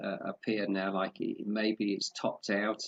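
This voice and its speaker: Pitched fairly low, a man speaks at a moderate pace. His intonation stays monotone and flat. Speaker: forex trading analyst. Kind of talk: market analysis tutorial. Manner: halting, many fillers.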